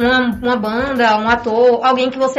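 Music plays in the background as a woman with a high pitch speaks at a moderate pace with fairly even intonation. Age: young. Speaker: young writer, university student. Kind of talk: radio interview.

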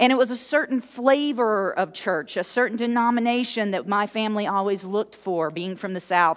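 A woman with a plain, everyday voice speaks at a fairly quick pace. Her pitch is fairly high and varies in an ordinary way. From moved around US as military contractor's child. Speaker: pastor. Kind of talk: sermon. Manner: conversational, uses fillers.

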